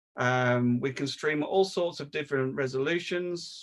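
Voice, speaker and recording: In a normal speaking voice, a man speaks with a fairly high pitch and fairly even intonation. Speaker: video production trainer. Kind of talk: online training session.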